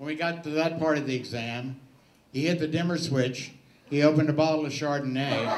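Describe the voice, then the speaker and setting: Noticeable background noise sits behind a man with a fairly high pitch. He talks at a fairly quick pace with fairly even intonation. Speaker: stand-up comedian. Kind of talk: stand-up comedy set.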